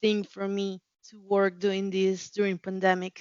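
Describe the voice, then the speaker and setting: Speaking at medium pitch, a woman has a Spanish accent. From Mexico City. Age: 30s. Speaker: customer care representative. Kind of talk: interview. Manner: halting, many repetitions and fillers.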